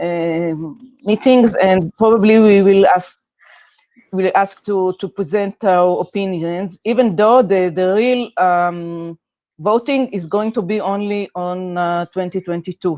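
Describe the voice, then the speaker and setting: Speaking at a fairly slow pace, a woman has a non-native accent. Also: medium pitch for a woman, fairly even intonation. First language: not English. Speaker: working group chair. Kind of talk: online meeting presentation. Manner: halting.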